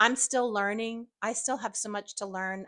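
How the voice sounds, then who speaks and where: Bright and sharp in tone, a woman speaks at a moderate pace in a very clean recording with a silent background and a dry, close sound with no echo. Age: 60s. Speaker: YouTuber. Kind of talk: casual vlog monologue. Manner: halting, many fillers.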